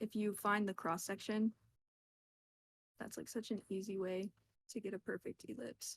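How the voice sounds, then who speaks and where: The woman talks at a fairly quick pace. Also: dry, close sound with no echo. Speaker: art teacher. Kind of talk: online workshop lecture. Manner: fast; casual, filler-heavy.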